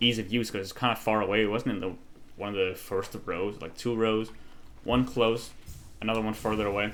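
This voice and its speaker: In a Danish accent, a man speaks fairly quickly at a fairly low pitch with monotone, flat intonation and audible room echo. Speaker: gaming streamer. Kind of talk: casual gameplay commentary. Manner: halting.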